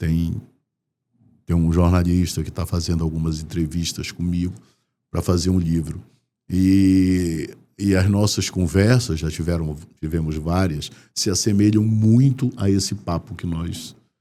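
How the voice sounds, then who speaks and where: A man speaks with a very deep, low pitch and a dark, mellow tone, his pitch varying an ordinary amount. He goes at a fairly slow pace with long, frequent pauses, on a very clean recording with a silent background. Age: 60s. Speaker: DJ. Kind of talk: interview conversation.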